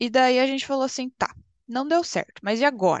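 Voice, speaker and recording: A woman with a high-pitched voice speaks at a fairly quick pace in a dry, close recording with no echo and a quiet background. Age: 20s. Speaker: PhD student, chemist. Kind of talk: casual interview.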